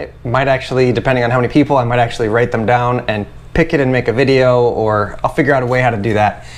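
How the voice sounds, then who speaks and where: A man speaks while noticeable background noise carries on. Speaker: carpenter and YouTuber. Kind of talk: casual vlog to camera. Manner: fast; animated.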